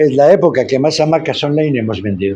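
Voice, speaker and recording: This man, with a Spanish accent, has a fairly high pitch and a dark, mellow tone. His pitch swings very widely. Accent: Spanish (Spain) accent, kept fully. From Spain. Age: 60s. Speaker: founder of social inclusion projects. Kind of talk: podcast interview.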